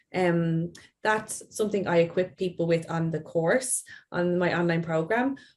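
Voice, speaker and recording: A woman with an Irish accent, fairly low-pitched, with ordinary pitch variation. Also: moderate pace. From Ireland. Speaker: play therapist. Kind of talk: interview.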